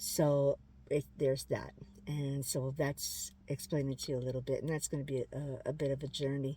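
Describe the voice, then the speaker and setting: A woman with a very deep, low voice and a dark, mellow tone speaks somewhat breathily at a moderate pace, her intonation monotone and flat. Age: 60s. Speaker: lifestyle vlogger. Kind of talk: casual vlog update. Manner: halting, with many fillers.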